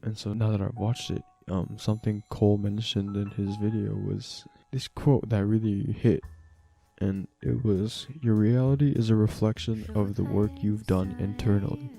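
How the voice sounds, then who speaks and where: A man whispers at a moderate pace with music in the background. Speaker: vlogger. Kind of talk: casual monologue vlog. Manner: whispering.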